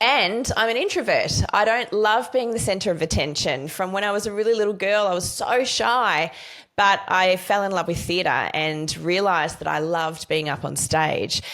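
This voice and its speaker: With an Australian accent, a woman talks at a moderate pace with lively intonation, medium pitch and hardly any pauses. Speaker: podcast host. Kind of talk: interview.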